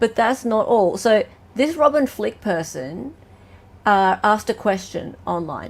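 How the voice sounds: A woman with an Australian accent talks at a moderate pace and medium pitch, her intonation lively.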